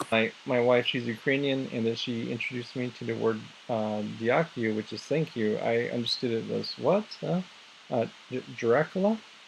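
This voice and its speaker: A man at medium pitch, with ordinary pitch variation and a moderate pace. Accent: American. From US Southwest, Navajo reservation in northern Arizona. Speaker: English and music teacher. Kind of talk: casual group chat. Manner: halting, many repetitions and fillers.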